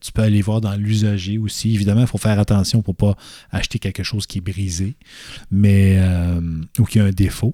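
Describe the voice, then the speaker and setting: A man talks at a moderate pace with fairly even intonation and a dark, mellow tone at fairly low pitch. The recording is very clean with a silent background and a dry, close sound with no echo. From Quebec City area (Loretteville), Quebec. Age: 40s. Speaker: photographer. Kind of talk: casual chat. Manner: halting.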